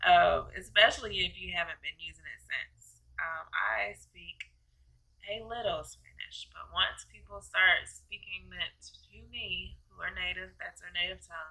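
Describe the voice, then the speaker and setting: This voice talks at a fairly slow pace with a Southern US accent. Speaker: travel vlogger. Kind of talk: tutorial. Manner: casual, many fillers.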